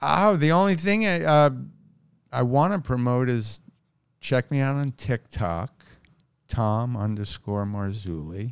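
The speaker has a New York accent and very wide pitch swings, moving at a fairly slow pace with long, frequent pauses. The recording is very clean, with a silent background. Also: man, medium pitch for a man. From New York City, Queens. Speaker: stand-up comedian. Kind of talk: casual chat.

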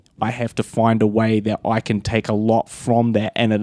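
In a New Zealand accent, a man speaks at medium pitch and a moderate pace with a dark, mellow tone. The recording is very clean with a silent background and a dry, close sound with no echo. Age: 30s. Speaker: filmmaker and pro wrestler. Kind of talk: casual chat.

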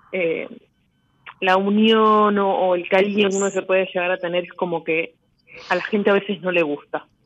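The speaker talks at a moderate pace in a Rioplatense accent. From Buenos Aires, Argentina. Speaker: caller. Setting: phone call.

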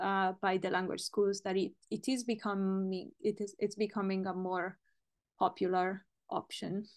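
Her intonation is monotone and flat. The woman keeps a moderate pace over a quiet background. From Italy. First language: Italian. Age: 30s. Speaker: language teacher. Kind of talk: interview. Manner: halting.

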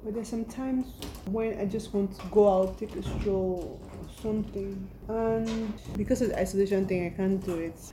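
A woman's medium-pitched voice at a moderate pace, fairly even in intonation, with audible room echo. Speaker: podcast host. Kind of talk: casual monologue.

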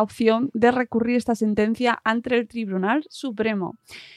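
A fairly slow delivery in a dry, close sound with no echo. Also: woman. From Madrid region, Spain. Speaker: podcast host. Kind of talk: casual chat.

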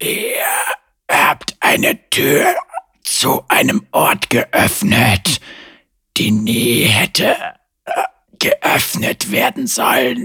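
A man performs a put-on character voice that is raspy and hissing. He speaks at a very slow pace with long, frequent pauses. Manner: hissing, menacing.

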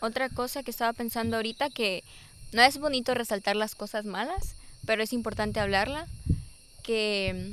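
A woman's fairly high voice at a moderate pace, with ordinary pitch variation, in a very clean recording with a silent background. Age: 20s. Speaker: guest. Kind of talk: casual chat. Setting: outdoors.

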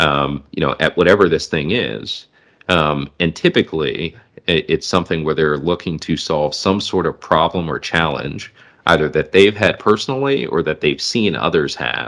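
This man has a very deep, low pitch with vocal fry. He speaks at a moderate pace with lively intonation. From US Midwest, southwest Michigan. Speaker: podcast host. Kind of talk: casual interview.

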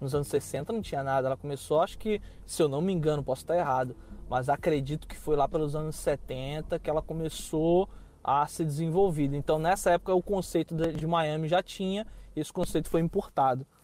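The voice has a dark, mellow tone and a Rio de Janeiro accent. It moves at a fairly quick pace. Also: man, fairly high pitch for a man. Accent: carioca. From Rio de Janeiro, Brazil. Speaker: Brazilian immigrant in the US. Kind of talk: casual interview.

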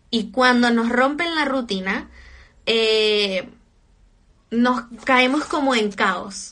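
A woman with a Chilean accent speaks in a high pitch with an animated tone and ordinary pitch variation. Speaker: social media influencer. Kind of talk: casual livestream chat. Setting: livestream from home. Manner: talkative.

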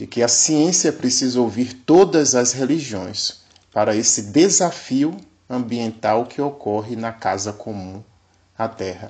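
Man with a dark, mellow tone, lively intonation and a fairly slow pace. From Bahia, Brazil (Recôncavo Baiano). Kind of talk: catechetical lecture. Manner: formal.

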